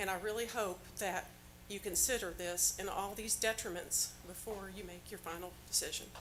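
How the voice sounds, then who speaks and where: A woman with an American accent speaks at a moderate pace in a monotone, flat intonation over noticeable background noise. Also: medium pitch for a woman. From Indiana. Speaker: public commenter at county meeting. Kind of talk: public comment.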